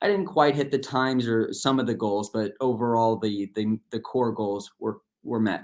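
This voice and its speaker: At a moderate pace and with hardly any pauses, a man talks in an ordinary speaking voice at medium pitch with ordinary pitch variation. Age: 30s. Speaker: swim coach and motivational speaker. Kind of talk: motivational talk. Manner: casual, with many fillers.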